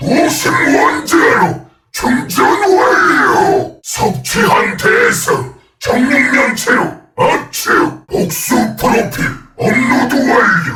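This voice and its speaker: Using a put-on character voice, a man growls out a raspy, menacing line at an extremely high pitch and a very slow pace, with a slight echo. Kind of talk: video game character voice lines. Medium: dub. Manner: menacing, commanding.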